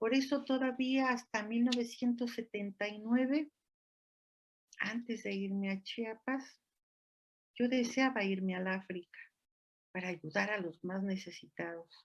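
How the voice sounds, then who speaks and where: Her fairly high voice moves at a fairly slow pace with ordinary pitch variation, and this woman leaves long, frequent pauses. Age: 60s. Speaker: physician and lecturer. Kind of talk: lecture. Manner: animated.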